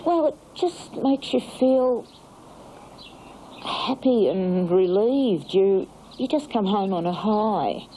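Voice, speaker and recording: In an Australian accent, a woman speaks at a very slow pace with long, frequent pauses. Her voice is fairly high-pitched and swings very widely in pitch. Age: 60s. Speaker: aerobics instructor. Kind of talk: interview.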